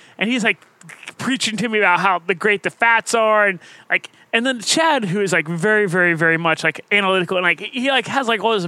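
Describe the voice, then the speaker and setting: Raising and projecting his voice, a man speaks at a fairly quick pace with a high pitch and ordinary pitch variation. His tone is bright and sharp, and the sound is dry and close with no echo. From Ohio. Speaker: podcast co-host, runner. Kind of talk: casual chat.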